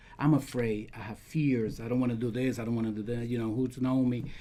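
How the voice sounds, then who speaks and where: A man talks with a Dominican accent. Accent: non-native English, Dominican Spanish. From Dominican Republic. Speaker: realtor and podcast co-host. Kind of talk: casual podcast chat. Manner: hesitant, searching for words.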